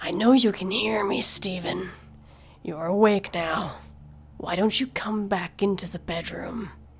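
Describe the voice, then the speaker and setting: Doing a put-on character voice, a woman speaks in a gravelly tone at a medium pitch and a fairly slow pace, with clear background noise. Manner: menacing.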